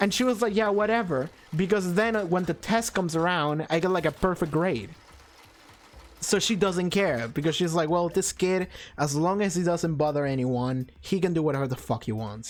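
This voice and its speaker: On a very clean recording with a silent background, a man with a Spanish accent speaks at a fairly quick pace in a high-pitched voice, with an animated tone and lively intonation. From Argentina. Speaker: gaming streamer. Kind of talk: casual chat.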